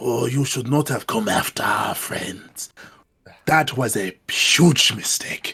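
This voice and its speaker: A man puts on a raspy, menacing character voice at a fairly slow pace. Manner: whispering.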